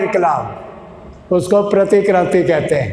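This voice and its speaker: There is audible room echo and noticeable background noise as a man speaks in a high voice with fairly even intonation. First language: Punjabi (speaking Hindi). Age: 80s+. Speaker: political activist. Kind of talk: political speech. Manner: impassioned.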